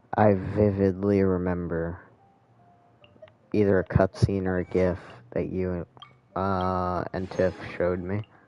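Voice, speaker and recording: Music plays in the background as a man speaks with a very deep, low pitch at a fairly slow pace. His intonation is monotone and flat, with long, frequent pauses. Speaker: gaming streamer. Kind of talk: live gameplay commentary. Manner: casual, talkative.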